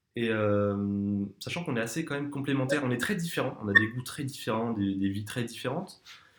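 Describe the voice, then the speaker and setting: Fairly quick, nearly pause-free speech from a man at medium pitch, with ordinary pitch variation. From southern France, near Perpignan. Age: 20s. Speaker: student, casting applicant. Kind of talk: casting video self-presentation. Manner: hesitant, many fillers.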